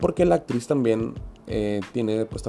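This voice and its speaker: Music plays behind a man speaking with a Mexican accent and ordinary pitch variation. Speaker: podcast host. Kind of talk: casual monologue. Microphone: home podcast equipment, sounded poor.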